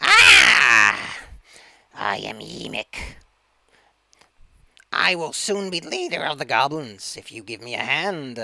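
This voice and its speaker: Using a put-on character voice, a man speaks shrilly at a fairly high pitch, moving at a fairly slow pace with long, frequent pauses. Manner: screeching, frustrating.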